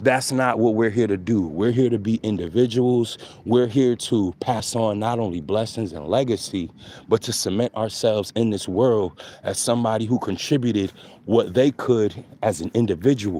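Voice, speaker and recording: This man speaks with an American accent and ordinary pitch variation. His tone is dark and mellow. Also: medium pitch for a man, moderate pace. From New York City, the Bronx. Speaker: spiritual content creator. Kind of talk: casual spiritual monologue. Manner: animated.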